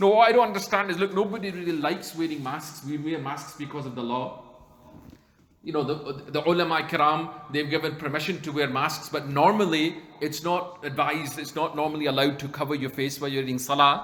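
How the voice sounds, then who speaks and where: Talking at a fairly quick pace, a man with a fairly high voice is heard with audible room echo and noticeable background noise. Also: ordinary pitch variation. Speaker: Islamic scholar giving a talk. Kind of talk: religious lecture. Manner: fast.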